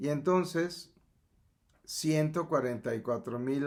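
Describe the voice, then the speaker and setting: A man speaks at a very slow pace. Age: 70s. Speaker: metaphysics teacher. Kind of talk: lecture. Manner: halting.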